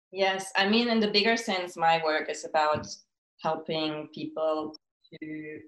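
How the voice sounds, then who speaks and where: Fairly low-pitched, a woman speaks at a fairly slow pace with ordinary pitch variation. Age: 30s. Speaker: fertility and nutrition coach. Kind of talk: interview about personal loss. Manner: reflective, halting.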